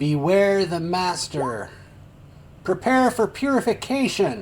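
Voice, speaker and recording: A man's put-on character voice, high-pitched, with very wide pitch swings, a fairly slow pace and clear background noise. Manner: ominous, menacing.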